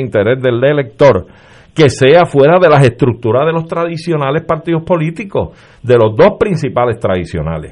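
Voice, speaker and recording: In a plain, everyday voice, a man talks at a moderate pace with lively intonation. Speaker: lawyer. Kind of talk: political panel discussion. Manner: formal.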